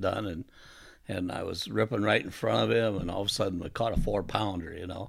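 With an Upper Midwest accent, a man speaks at a fairly low pitch with vocal fry. His intonation is fairly even, and the recording is very clean with a silent background. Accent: Upper Midwest American. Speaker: tournament bass angler, inventor. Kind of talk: interview. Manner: hesitant, many fillers.

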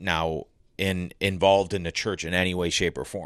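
Against a quiet background, a man speaks with a Northeast Ohio accent at a moderate pace. His pitch is very deep and low, his intonation fairly even. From Cleveland, Ohio. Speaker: sports reporter and broadcaster. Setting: in person, studio.

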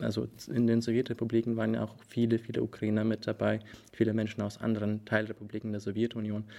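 A man talks at a very fast pace in a fairly low pitch, with a dark, mellow tone and monotone, flat intonation. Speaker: Ukrainian student activist. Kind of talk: interview.

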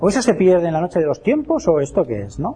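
Music plays behind a man with a high pitch. His intonation is lively. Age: 50s. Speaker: lecturer on alchemy. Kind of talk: lecture.

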